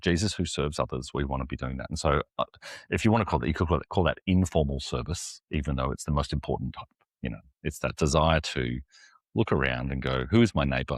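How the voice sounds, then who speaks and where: A man's very deep, low pitch with vocal fry at a very fast pace. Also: ordinary pitch variation, dry, close sound with no echo. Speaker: executive pastor. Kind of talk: interview answer.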